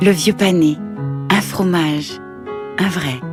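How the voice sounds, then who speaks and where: A woman speaks in a fairly low pitch. Music plays in the background. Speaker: voice actor. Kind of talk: TV commercial read.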